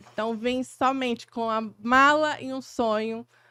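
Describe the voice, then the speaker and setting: A woman's high, bright, sharp voice at a very slow pace, dry and close with no echo, on a very clean recording with a silent background. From Acre, northern Brazil. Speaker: podcast co-host, digital marketing mentor. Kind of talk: casual podcast chat.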